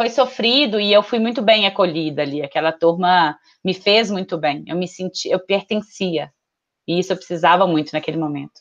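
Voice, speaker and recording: A woman talks in an ordinary speaking voice at medium pitch and a moderate pace, with ordinary pitch variation. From Minas Gerais, Brazil (Betim, Belo Horizonte area). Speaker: marketing professional. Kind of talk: casual interview conversation.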